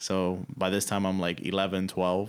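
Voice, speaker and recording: Very deep, low male voice with a Spanish accent at a fairly slow pace. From Dominican Republic. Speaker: musician. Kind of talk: interview. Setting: radio studio. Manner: casual, many fillers.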